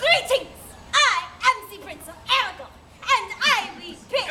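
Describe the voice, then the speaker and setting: A woman's squeaky, put-on character voice at extremely high pitch, with lively intonation, big swings in loudness and a fairly slow pace. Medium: stage play. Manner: grandiose declaiming.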